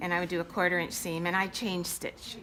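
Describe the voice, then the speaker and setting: Speaking in a normal speaking voice, a woman with a fairly low pitch keeps a moderate pace. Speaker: sewing instructor. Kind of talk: tutorial.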